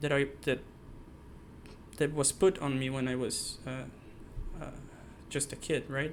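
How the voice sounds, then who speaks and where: Speaking fairly slowly in a South American accent, a man keeps a medium pitch and fairly even intonation. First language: not English. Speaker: software engineer, channel creator. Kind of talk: personal monologue to camera. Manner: halting, many fillers and restarts.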